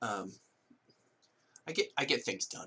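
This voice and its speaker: A man uses a put-on character voice. It is raspy and fairly low in pitch. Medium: actual play. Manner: clipped, dismissive.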